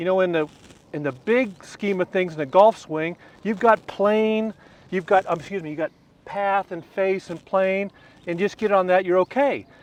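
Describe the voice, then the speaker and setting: In an American accent, the relaxed voice moves at a moderate pace with ordinary pitch variation and a dry, close sound with no echo. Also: man, high pitch for a man. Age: 60s. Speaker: retired tour golf professional. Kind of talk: golf instruction demonstration in casual interview. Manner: conversational, relaxed.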